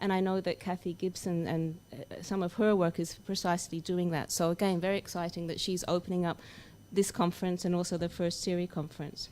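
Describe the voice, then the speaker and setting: The voice has a dark, mellow tone and an Australian accent, moving at a fairly quick pace with monotone, flat intonation. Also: woman, fairly low pitch for a woman. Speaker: academic researcher. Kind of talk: conference opening speech.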